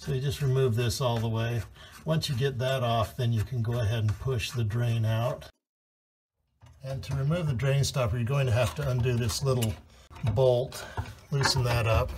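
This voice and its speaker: Long, frequent pauses break up speech at a moderate pace, over light background noise. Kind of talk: tutorial. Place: bathroom. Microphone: phone near.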